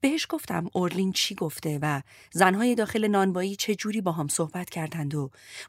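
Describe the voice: Text read aloud, plainly.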